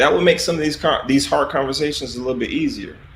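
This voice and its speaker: A man's fairly high voice carries a Southern US accent. Noticeable background noise and audible room echo surround him. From US South, South Carolina. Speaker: army officer. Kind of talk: interview. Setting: livestream.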